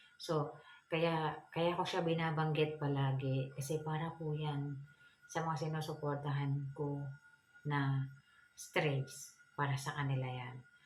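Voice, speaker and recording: In a room with audible echo, a woman speaks at a fairly slow pace in a very deep, low pitch, her intonation monotone and flat, with long, frequent pauses. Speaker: feng shui vlogger. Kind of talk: tutorial. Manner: polite, frequent hesitations.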